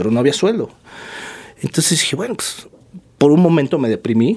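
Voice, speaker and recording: A man with a Mexico City accent speaks at a fairly high pitch, his voice swinging very widely up and down. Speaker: yoga teacher, former lawyer. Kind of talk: casual chat.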